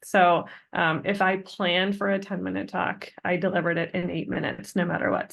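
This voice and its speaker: Against a quiet background, a woman with vocal fry speaks at medium pitch with fairly even intonation. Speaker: assistant professor. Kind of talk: webinar presentation. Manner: fast.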